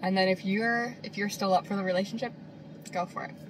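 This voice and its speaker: Noticeable background noise sits behind a woman speaking at a moderate pace. Her voice is medium in pitch with ordinary variation. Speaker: vlogger. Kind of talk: casual talk to camera. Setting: in a car. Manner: eating while talking.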